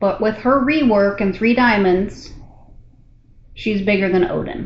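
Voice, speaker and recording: A woman talks at a fairly slow pace. Her medium-pitched voice is somewhat breathy. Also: ordinary pitch variation. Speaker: gaming streamer. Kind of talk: casual chat. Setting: hotel room, live with Discord. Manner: quiet.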